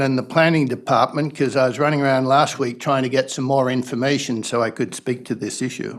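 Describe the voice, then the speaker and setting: This is a man speaking. He talks at a fairly quick pace. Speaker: resident speaking at council meeting. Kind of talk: public comment at council meeting. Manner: loud.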